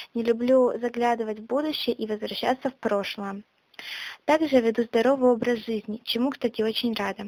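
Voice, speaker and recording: Her pitch fairly high, a woman talks at a moderate pace with fairly even intonation, the sound dry and close with no echo. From Russia, Yaroslavl region. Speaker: podcaster / blogger. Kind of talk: self-introduction monologue. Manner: casual, with hesitations.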